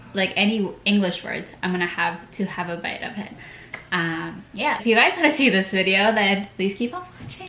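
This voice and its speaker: A woman's loudness swings a lot while her pitch varies in an ordinary way. Noticeable background noise is present. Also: medium pitch for a woman, moderate pace. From Philippines. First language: Tagalog. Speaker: beauty vlogger. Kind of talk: tutorial. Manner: casual, code-switching Tagalog and English.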